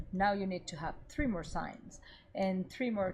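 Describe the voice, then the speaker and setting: A woman with a Venezuelan accent speaks at a medium pitch, somewhat breathy, with ordinary pitch variation. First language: Spanish. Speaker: cannabis media reporter. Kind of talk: interview conversation.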